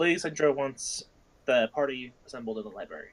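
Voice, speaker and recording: A man puts on a character voice at a medium pitch. He speaks at a fairly quick pace. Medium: actual play. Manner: polite, formal.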